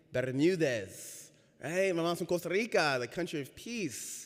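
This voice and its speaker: Here a man is talking. His intonation is lively. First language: Spanish. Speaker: racial equity trainer giving a church reflection. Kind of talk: talk from the pulpit. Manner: conversational, audience-engaging.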